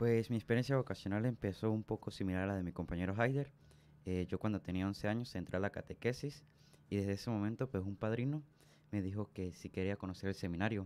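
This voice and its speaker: A man's fairly low, dark and mellow voice at a very fast pace, with ordinary pitch variation. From Venezuela, southern Táchira state. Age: young. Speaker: seminarian; radio guest. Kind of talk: radio interview testimony. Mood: earnest, warm. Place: studio. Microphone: studio mic.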